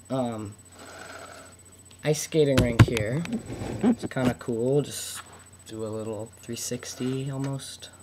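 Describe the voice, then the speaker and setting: Very slow, fairly even speech from a man at medium pitch, with long, frequent pauses and noticeable background noise. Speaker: toy reviewer. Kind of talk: product review. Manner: halting with fillers.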